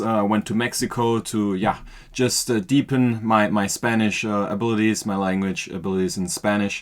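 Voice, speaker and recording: The very clean recording has a silent background, with a man speaking at a moderate pace in a German accent. His medium pitch shows ordinary pitch variation. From Austria. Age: 20s. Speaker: podcast guest, marketing worker. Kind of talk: casual interview. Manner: hesitant, many fillers.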